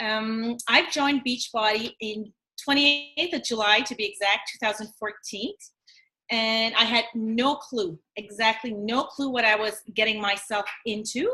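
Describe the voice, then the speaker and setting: A woman's fairly high, bright and sharp voice, with fairly even intonation and a fairly slow pace. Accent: Acadian. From Atlantic Canada, New Brunswick (Acadian French village). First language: French. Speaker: fitness coach. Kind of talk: casual live video chat.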